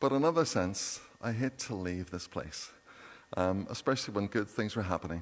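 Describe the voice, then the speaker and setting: A man's fairly low pitch at a fairly quick pace. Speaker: minister giving notices. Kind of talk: church announcements. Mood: warm, jovial. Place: church. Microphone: podium.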